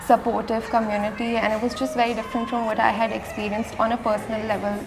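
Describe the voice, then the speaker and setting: With music in the background and audible room echo, a woman speaks at a very fast pace. Her fairly high-pitched delivery is monotone and flat. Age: 20s. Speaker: pole dancer and studio owner. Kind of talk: documentary interview.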